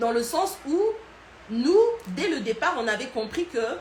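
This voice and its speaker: With a Congolese accent and lively intonation, a woman speaks over noticeable background noise and audible room echo. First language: Lingala (speaking French). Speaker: online culture and history educator. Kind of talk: live stream talk. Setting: Instagram live. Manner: hesitant, many fillers.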